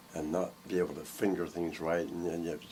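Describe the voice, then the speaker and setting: A man with an American accent and a very deep, low pitch, over noticeable background noise. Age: 70s. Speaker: bass maker and music teacher. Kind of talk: casual chat.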